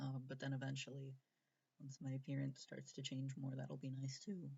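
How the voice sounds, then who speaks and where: Long, frequent pauses mark this man's speech. His medium-pitched voice is somewhat breathy, with fairly even intonation. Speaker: transgender vlogger. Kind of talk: casual vlog Q&A. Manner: hesitant, many fillers.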